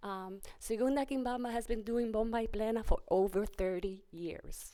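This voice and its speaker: Someone with a Spanish accent talks at a moderate pace. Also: woman. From US Northeast, Pennsylvania, Puerto Rican family. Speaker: cultural group leader, honoree. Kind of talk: press conference speech.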